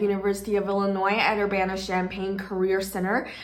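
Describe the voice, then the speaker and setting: Audible room echo and noticeable background noise both come through on the recording. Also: woman. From China. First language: Chinese. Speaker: video host. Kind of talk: scripted introduction.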